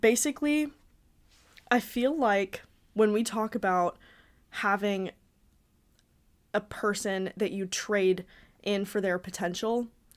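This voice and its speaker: At a very slow pace with long, frequent pauses, a woman speaks at medium pitch with ordinary pitch variation. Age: 20s. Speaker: content creator and podcast host. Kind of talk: casual chat. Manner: halting; animated.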